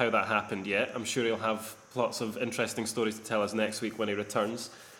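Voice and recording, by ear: A man's voice has a fairly bright tone and audible room echo.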